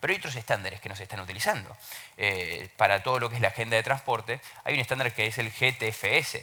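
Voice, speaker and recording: Pitch varying in an ordinary way, a man talks at a very fast pace. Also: medium pitch for a man. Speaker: open government consultant. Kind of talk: panel talk. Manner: hesitant fillers, repeats words.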